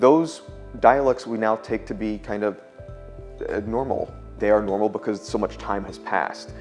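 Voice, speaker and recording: A man with long, frequent pauses and music in the background. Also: moderate pace. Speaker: linguistics professor. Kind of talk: academic interview answer. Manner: measured, explanatory.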